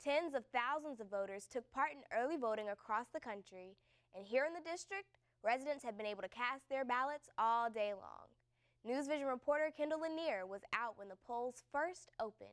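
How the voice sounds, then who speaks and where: A woman at high pitch, lively intonation, a moderate pace and big swings in loudness. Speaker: student news anchor. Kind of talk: news reading. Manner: formal.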